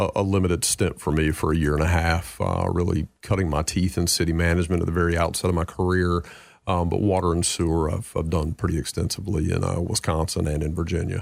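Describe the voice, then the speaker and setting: In a Southern US accent, a man with a very deep, low voice speaks at a very fast pace with hardly any pauses, in a flat, monotone intonation at very even loudness, on a very clean recording with a silent background. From North Carolina, US South. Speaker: city manager. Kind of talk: radio interview. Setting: radio studio.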